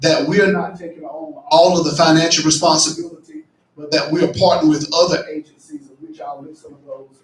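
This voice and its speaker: A loud, high-pitched male voice with fairly even intonation. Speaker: county commissioner. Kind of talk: public meeting presentation. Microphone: faulty mic cutting in and out.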